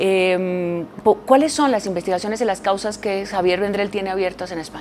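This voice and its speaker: Over noticeable background noise, a woman talks at a moderate pace with a medium pitch. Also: ordinary pitch variation. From Colombia. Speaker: radio journalist. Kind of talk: radio interview. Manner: hesitant, many fillers.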